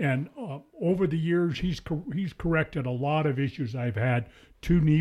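At a moderate pace, a man with a fairly high, somewhat breathy voice and a dark, mellow tone speaks with lively intonation. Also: very clean recording, silent background. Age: 70s. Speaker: hunter and gym client. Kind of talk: casual chat. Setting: studio.

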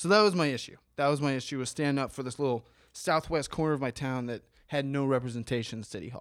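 Recorded very cleanly against a silent background, a man speaks very fast at a fairly high pitch with ordinary pitch variation. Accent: American. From Columbus, Ohio, US Midwest. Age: 30s. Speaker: former political candidate. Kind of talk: casual chat.

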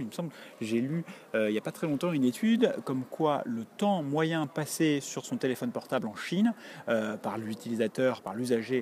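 A man with a mid-range pitch talks at an unhurried, middling speed. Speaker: podcaster correspondent. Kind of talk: audio report. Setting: theatre stairway, walking. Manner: hesitant, many fillers.

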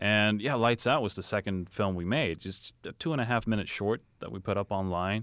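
A Swedish accent at a fairly quick pace with hardly any pauses and ordinary pitch variation, on a very clean recording with a silent background. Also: man, fairly low pitch for a man. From Sweden. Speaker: film director. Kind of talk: casual chat. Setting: studio.

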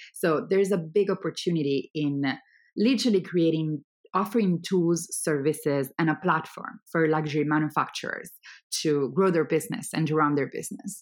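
A woman speaks at a fairly low pitch with an Italian accent and ordinary pitch variation. The recording is very clean, with a silent background. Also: moderate pace. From Italy. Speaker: startup founder. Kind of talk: interview.

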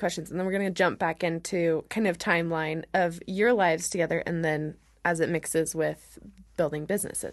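A woman with an American accent and a plain, everyday voice, fairly low in pitch, at a fairly quick pace against a quiet background. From Oregon. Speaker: podcast host. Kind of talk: interview.

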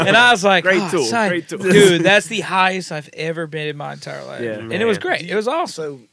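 Over noticeable background noise, a man with a slight Southern US accent talks at a fairly quick pace in a high pitch, with lively intonation and big swings in loudness. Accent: slight Southern country twang. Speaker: podcast guest. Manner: casual, storytelling.

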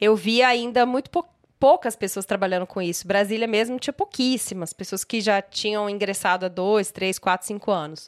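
With an unremarkable speaking voice, a woman talks at a moderate pace and medium pitch, using ordinary pitch variation and hardly any pauses. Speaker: image and style consultant, podcast co-host. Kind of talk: casual chat.

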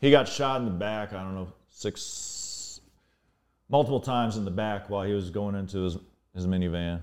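Speaking with an American accent at a moderate pace, a man with a plain, everyday voice uses a fairly low pitch and ordinary pitch variation on a very clean recording with a silent background. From US Mid-Atlantic (Northern Virginia). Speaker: DJ and artist. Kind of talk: casual chat.

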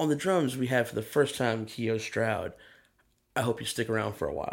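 A man with an American accent and vocal fry. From US South, Athens, Georgia. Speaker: session and touring drummer. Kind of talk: casual chat.

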